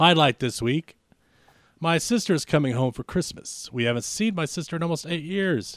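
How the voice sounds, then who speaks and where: Recorded very cleanly with a silent background and a dry, close sound with no echo, a man speaks at a fairly quick pace with ordinary pitch variation in a plain, everyday voice. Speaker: podcast co-host. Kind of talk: casual banter, comedy podcast. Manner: fast talker.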